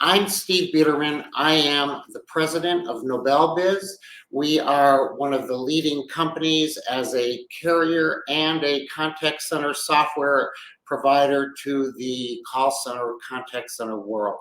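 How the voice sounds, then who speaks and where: At a fairly slow pace, a man with an ordinary speaking voice talks in a fairly high pitch with ordinary pitch variation. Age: 60s. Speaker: business executive and podcast host. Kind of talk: casual monologue podcast. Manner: conversational with frequent fillers.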